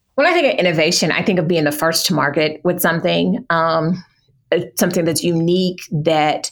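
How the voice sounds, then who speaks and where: This woman's voice sits fairly low in pitch. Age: 40s. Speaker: small business owner. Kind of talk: interview.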